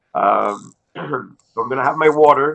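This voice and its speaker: This man's voice has vocal fry and fairly even intonation. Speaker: agricultural economist. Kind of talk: webinar presentation. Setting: online webinar. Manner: halting, many fillers.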